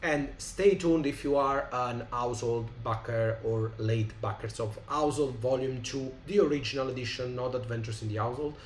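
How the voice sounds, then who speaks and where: A somewhat breathy man with an Italian accent speaks at medium pitch and a moderate pace, with ordinary pitch variation and audible room echo. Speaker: tabletop game designer. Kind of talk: live stream chat. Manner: halting, many fillers.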